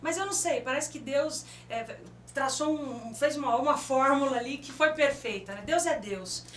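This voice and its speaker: Noticeable background noise and audible room echo fill the recording of a woman with a high voice. She speaks at a moderate pace with big swings in loudness. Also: ordinary pitch variation. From São Paulo city, Brazil. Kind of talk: radio interview. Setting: radio studio.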